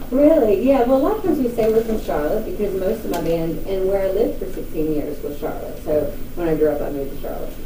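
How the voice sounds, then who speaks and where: A woman talks at a very fast pace and medium pitch with very wide pitch swings. Audible room echo and noticeable background noise are present. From North Carolina, near Hickory. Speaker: country singer. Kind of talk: interview.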